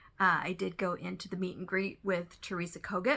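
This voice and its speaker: Loud and bright with a sharp tone, a woman's fairly low voice shows vocal fry on a very clean recording with a silent background. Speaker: cross-stitch video creator. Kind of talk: casual chat.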